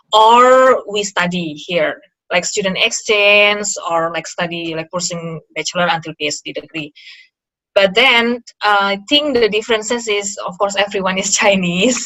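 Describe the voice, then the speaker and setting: A woman with an Indonesian accent at a moderate pace, medium pitch, and ordinary pitch variation. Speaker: interview guest, former master's student. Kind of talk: casual interview chat. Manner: halting, many fillers.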